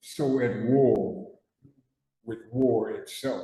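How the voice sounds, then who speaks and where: A man's medium-pitched voice has a dark, mellow tone and is somewhat breathy. Audible room echo surrounds it. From Newark, New Jersey. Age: 70s. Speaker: person in recovery, war veteran. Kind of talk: testimony. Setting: studio. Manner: halting, repetitive.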